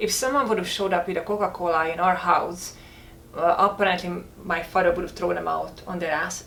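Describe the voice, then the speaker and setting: A woman speaks with fairly even intonation. Noticeable background noise and audible room echo fill the recording. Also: fairly low pitch for a woman, fairly quick pace. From rural Hungary. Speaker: health food company co-founder, former model. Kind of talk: casual chat.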